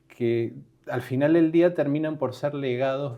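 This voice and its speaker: A man speaks in a Latin American accent. His tone is dark and mellow, his intonation fairly even. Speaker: podcast host. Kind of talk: interview conversation. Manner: halting, with fillers.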